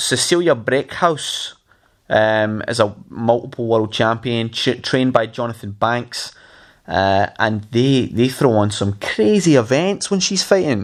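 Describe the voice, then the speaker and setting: On a very clean recording with a silent background, a man with a Scottish accent speaks fairly slowly at a medium pitch with lively intonation. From Scotland, Glasgow. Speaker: podcast host. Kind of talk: casual chat.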